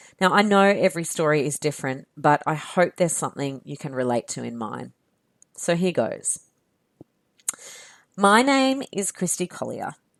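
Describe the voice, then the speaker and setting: In a very clean recording with a silent background, a woman with an Australian accent and a fairly low pitch speaks at a moderate pace, using very wide pitch swings, big swings in loudness, and long, frequent pauses. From Australia, near Canberra. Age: 30s. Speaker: podcast host. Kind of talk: podcast monologue.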